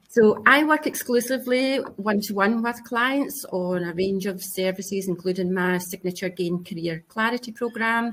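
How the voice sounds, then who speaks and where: At a moderate pace with hardly any pauses, a woman with a Scottish accent speaks at medium pitch with ordinary pitch variation. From Scotland. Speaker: career coach. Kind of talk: panel discussion.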